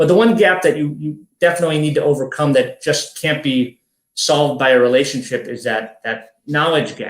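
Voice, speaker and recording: This man's voice sits fairly high in pitch and moves with ordinary pitch variation. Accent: American. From US Midwest, Chicago. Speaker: army veteran. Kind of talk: podcast interview. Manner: fast.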